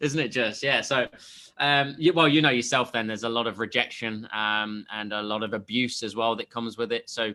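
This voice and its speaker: With an English accent, a man speaks at a medium pitch and fairly quick pace, his tone bright and sharp and his pitch variation ordinary, in a very clean recording with a silent background. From England, Leicester. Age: 30s. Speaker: sales coach. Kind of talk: interview. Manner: halting, many fillers.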